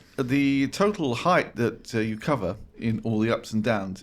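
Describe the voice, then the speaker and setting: This man has a normal speaking voice. His pitch is medium, with ordinary pitch variation. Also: hardly any pauses. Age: 60s. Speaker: charity worker and podcast co-presenter. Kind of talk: casual chat.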